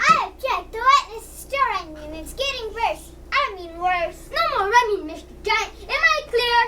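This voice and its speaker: An extremely high-pitched, put-on character voice moves at a moderate pace with hardly any pauses over light background noise. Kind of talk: children's reader's theater. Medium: stage play. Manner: stern, fussy.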